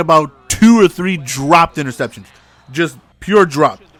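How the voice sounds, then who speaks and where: With music in the background, a man speaks at a moderate pace and a high pitch, with ordinary pitch variation. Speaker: gaming commentator. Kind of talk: gameplay commentary. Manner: casual, chatty.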